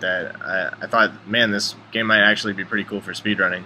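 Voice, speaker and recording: Over noticeable background noise, a man speaks with a fairly low pitch in a monotone, flat intonation. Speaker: gamer, speedrunner. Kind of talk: gameplay commentary.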